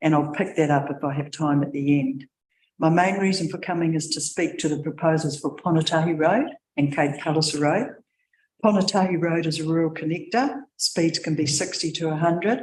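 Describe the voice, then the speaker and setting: Delivered at a fairly quick pace, the speech comes in a New Zealand accent. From New Zealand, Wairarapa. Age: 70s. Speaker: submitter at council hearing, retired education worker. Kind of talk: public submission read from notes. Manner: fast.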